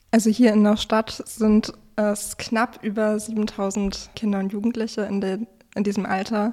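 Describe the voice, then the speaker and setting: At a fairly slow pace, a woman speaks in fairly high pitch with monotone, flat intonation. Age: 20s. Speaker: chair of a regional youth sports association. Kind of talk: interview.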